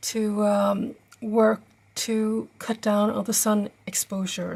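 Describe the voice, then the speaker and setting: A woman with a Norwegian accent speaks at a very slow pace, her fairly high voice somewhat breathy. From Norway. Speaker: travel vlogger. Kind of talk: tutorial. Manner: halting, many fillers.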